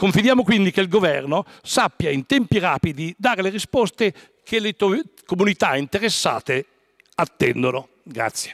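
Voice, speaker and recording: A man speaks in a high pitch with very wide swings in pitch. The background is quiet. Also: moderate pace. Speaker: member of parliament. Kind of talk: parliamentary question reading. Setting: parliament chamber. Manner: formal, reading-style. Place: hall. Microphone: podium.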